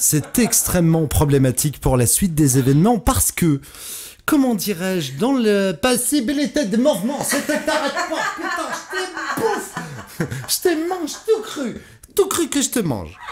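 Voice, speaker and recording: Music plays in the background while a man speaks at an extremely high pitch. His pace is fairly slow, and his pitch swings very widely. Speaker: radio host. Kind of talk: morning radio show bloopers.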